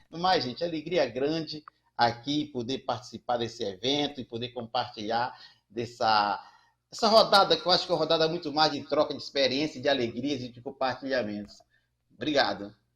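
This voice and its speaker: At a fairly quick pace, a man with a normal speaking voice and medium pitch shows big swings in loudness. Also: ordinary pitch variation. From Brazil, Ceará (Fortaleza). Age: 60s. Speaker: community banker and social entrepreneur. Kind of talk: panel discussion.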